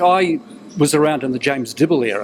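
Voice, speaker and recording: Noticeable background noise sits under a man's voice. He talks at a fairly quick pace with ordinary pitch variation. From New Zealand. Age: 70s. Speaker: retired broadcaster and newsreader. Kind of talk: interview. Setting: TV interview.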